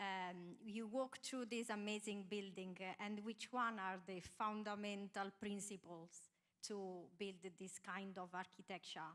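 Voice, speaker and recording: In an Italian accent, a woman speaks with fairly even intonation. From Italy. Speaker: architect. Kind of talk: panel self-introduction. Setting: stage with live audience. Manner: halting.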